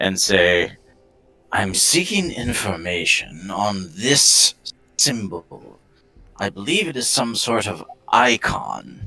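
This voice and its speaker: Using a put-on character voice, a man speaks at a fairly low pitch and a very slow pace with lively intonation and long, frequent pauses, over faint music in the background. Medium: actual play.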